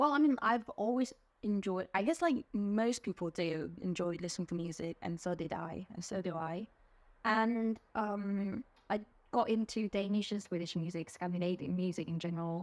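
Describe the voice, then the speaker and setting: Speaking in an English accent, a woman keeps a moderate pace and a medium pitch. Her pitch varies in an ordinary way. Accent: English accent picked up as a child. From South Korea, childhood partly in England. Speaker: music fan. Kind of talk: interview. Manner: hesitant, many fillers.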